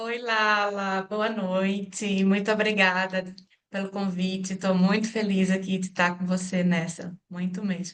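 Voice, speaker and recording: A woman speaks at a fairly slow pace and medium pitch, her intonation monotone and flat. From Brazil, Pernambuco. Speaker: engineer and social entrepreneur. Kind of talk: interview. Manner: halting, many fillers.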